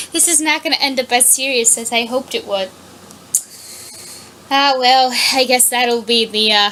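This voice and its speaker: A loud, high-pitched woman's voice with fairly even intonation and long, frequent pauses, over noticeable background noise. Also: moderate pace. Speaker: fan fiction reader. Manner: halting.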